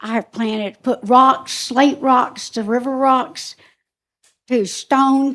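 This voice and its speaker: In a very clean recording with a silent background, a woman with a South Carolina accent speaks at a very slow pace in a high voice with fairly even intonation. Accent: US Southern (South Carolina). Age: 70s. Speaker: resident speaking at public comment. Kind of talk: public comment at council meeting. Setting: county council meeting. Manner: halting.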